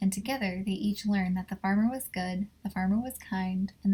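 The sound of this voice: An unforced reading voice is heard here. The intonation remains fairly even.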